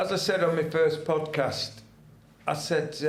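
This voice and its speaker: Audible room echo around a man's fairly high voice. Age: 70s. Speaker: retired ex-soldier and football fan. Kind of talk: casual chat. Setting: studio. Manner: halting.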